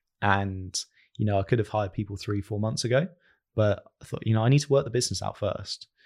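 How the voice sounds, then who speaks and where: A man's very fast, somewhat breathy speech, fairly low in pitch with ordinary pitch variation. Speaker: agency founder. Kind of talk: casual interview chat.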